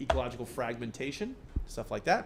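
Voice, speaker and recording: Audible room echo around a man speaking at a fairly quick pace. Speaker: university professor. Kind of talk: lecture. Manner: fast; halting, many fillers and restarts.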